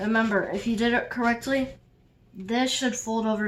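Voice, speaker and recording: A woman speaks with a fairly high pitch. Her intonation stays fairly even. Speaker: origami tutorial maker. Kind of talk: tutorial. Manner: casual with fillers.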